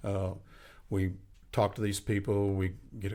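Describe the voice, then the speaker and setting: A man with an American accent speaks in a monotone, flat intonation. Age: 70s. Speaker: union leader and podcast host. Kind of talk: casual podcast interview. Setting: podcast recording. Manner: halting, many fillers and restarts.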